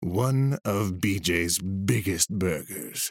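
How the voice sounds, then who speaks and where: A man puts on a character voice with lively intonation, recorded very cleanly against a silent background. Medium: read story. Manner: eccentric, scatterbrained; gruff, blunt, demanding.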